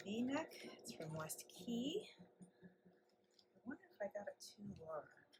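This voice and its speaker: A woman mumbles with very wide pitch swings while music plays in the background. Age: 50s. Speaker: fashion vlogger. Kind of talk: casual unboxing video. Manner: mumbling to herself. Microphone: poor audio in try-on footage.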